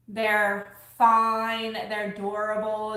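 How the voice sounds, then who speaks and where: A woman's fairly high voice with a strong Louisiana accent, carrying audible room echo. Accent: strong Southern US (Louisiana). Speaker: crafter and thrift-flip YouTuber. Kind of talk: casual livestream chat while crafting. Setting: live video stream. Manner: casual, chatty.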